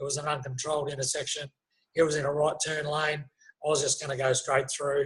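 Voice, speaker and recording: A man with an Australian accent, fairly high pitch, a somewhat breathy quality and a fairly quick pace. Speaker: former soldier and police officer, spinal injury survivor. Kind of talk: interview testimony. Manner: halting, many fillers.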